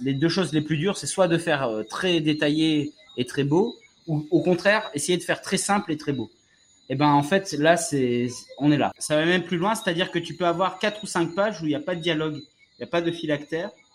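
A man talks at a fairly quick pace. His voice is high, with ordinary pitch variation. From Martinique. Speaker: podcast host. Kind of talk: casual chat. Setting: outdoors on a terrace.

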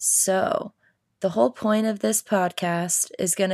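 In a very clean recording with a silent background and a dry, close sound with no echo, a speaker with an American accent uses ordinary pitch variation. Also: woman. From US Midwest (Iowa). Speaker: life coach and podcast host. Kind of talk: casual podcast monologue.

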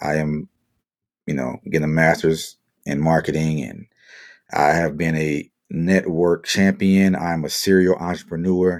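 A man speaks fairly slowly in a very deep, low, monotone voice. He leaves long, frequent pauses. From US South, New Orleans. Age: 40s. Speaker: podcast host, military servicemember. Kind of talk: solo podcast monologue. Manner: casual, laid-back.

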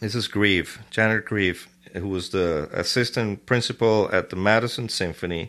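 Over a quiet background, a man with a Spanish accent talks at a moderate pace in a fairly low voice with fairly even intonation. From Venezuela. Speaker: orchestra conductor. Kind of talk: casual interview.

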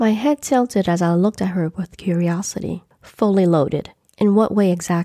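Natural-voiced reading aloud, the background quiet

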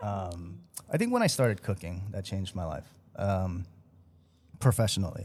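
A man with an American accent and a very deep, low pitch speaks at a moderate pace, somewhat breathy, with ordinary pitch variation and long, frequent pauses. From Chicago, US Midwest. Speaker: chef and restaurateur, podcast co-host. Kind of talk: casual chat.

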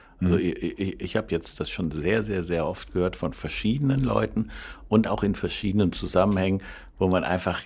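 Using vocal fry, a man with a very deep, low pitch speaks at a fairly quick pace. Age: 60s. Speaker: food wholesaler and podcast co-host. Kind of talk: casual chat.

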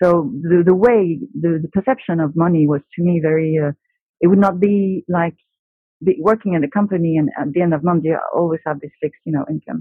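Fairly low-pitched and fairly quick, a woman's voice. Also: ordinary pitch variation. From France. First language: French. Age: 30s. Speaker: buyer in retail. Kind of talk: casual chat.

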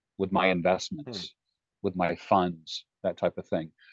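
With an unremarkable speaking voice and lively intonation, the speaker goes at a moderate pace against a quiet background, the sound dry and close with no echo. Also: man. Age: 60s. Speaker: life coach. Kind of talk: casual chat.

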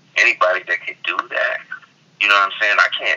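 Speaking with an American accent, a man is heard over noticeable background noise. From US West Coast. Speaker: hip hop artist. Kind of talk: interview.

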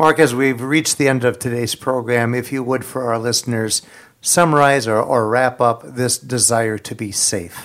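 This is a normal speaking voice. The pace is moderate and the pitch variation ordinary. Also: man, medium pitch for a man. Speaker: co-host of radio program. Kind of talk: radio talk show discussion.

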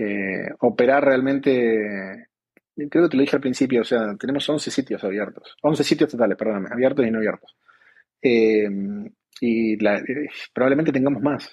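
This man talks at a moderate pace. His pitch varies in an ordinary way. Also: medium pitch for a man. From Argentina. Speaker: e-commerce business director. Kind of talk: interview. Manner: halting, many fillers.

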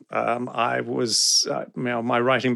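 A man speaks at a medium pitch with vocal fry. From South Africa, raised internationally. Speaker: writer and editor. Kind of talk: interview.

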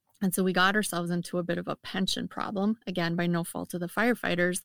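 With a Midwestern accent, a woman speaks in a monotone, flat intonation on a very clean recording with a silent background and a dry, close sound with no echo. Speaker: firefighter and wellness coach. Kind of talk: casual interview.

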